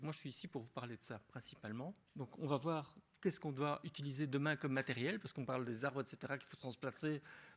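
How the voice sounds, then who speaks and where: A man's fairly high voice at a very fast pace, with a Belgian accent. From Belgium (Wallonia). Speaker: agronomist and beekeeping expert. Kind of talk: conference talk. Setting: lecture hall with audience. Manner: casual, with frequent hesitations and restarts.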